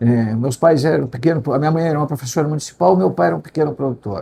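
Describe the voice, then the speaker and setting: A man's dark, mellow, somewhat breathy voice, fairly high in pitch, with lively intonation and a fairly quick pace. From Rio Grande do Sul, Brazil (Pelotas area). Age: 70s. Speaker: agricultural economist and consultant, retired professor. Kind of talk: interview.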